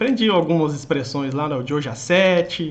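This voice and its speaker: In a strong Minas Gerais accent, a man talks at a moderate pace with ordinary pitch variation. Room echo is audible. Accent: strong Minas Gerais (mineiro). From Minas Gerais, Brazil. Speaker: online exam-prep teacher. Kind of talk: live stream chat with viewers. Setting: live stream.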